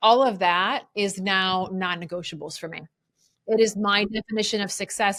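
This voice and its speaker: A woman talks at a moderate pace with a medium pitch and a bright, sharp tone. The recording is very clean, with a silent background. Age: 40s. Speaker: podcast host and life coach. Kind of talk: casual interview chat. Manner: animated.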